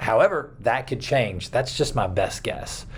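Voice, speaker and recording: A man's somewhat breathy voice. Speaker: children's pastor. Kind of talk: video talk to fellow children's ministry leaders. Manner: casual, many fillers.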